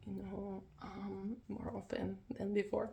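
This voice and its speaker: This woman talks at a fairly slow pace. Background noise is noticeable throughout. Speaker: tarot reader. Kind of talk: tarot reading video, casual talk to camera.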